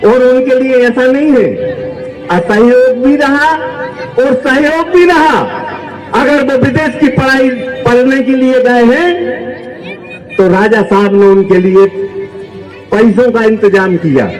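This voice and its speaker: Amid noticeable background noise, a man with an extremely high-pitched voice speaks at a very even loudness, with long, frequent pauses. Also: ordinary pitch variation. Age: old. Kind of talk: public speech at a rally. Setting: outdoors.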